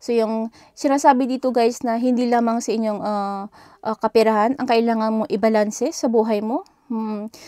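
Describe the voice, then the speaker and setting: A woman with a fairly high pitch speaks at a moderate pace in a dark, mellow tone with fairly even intonation. The recording is very clean with a silent background and a dry, close sound with no echo. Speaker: tarot reader. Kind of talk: tarot reading. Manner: halting.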